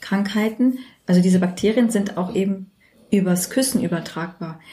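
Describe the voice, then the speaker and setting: A woman talks in a medium pitch over noticeable background noise. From Germany, Turkish parents. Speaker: dentist. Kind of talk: casual chat. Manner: hesitant, many fillers.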